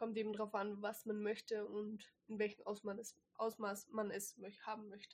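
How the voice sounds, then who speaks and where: The speaker is a woman with a fairly high pitch. She talks at a moderate pace with monotone, flat intonation. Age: 20s. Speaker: host's girlfriend, product lister. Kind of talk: casual chat.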